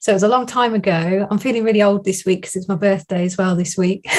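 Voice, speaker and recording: This is a woman speaking. She has a southern English accent. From southern England, Northamptonshire. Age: 40s. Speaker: design business coach. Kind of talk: interview.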